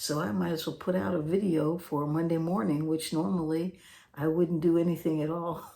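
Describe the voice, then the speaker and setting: A soft-spoken woman with a dark, mellow tone at a fairly quick pace. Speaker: guitar teacher. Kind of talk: tutorial. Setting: home, late at night. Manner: soft-spoken, talking low.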